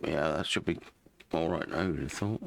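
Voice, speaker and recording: With a British accent, a man speaks in a very deep, low pitch. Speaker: gaming YouTuber. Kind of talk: gameplay commentary. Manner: mumbling; casual, halting.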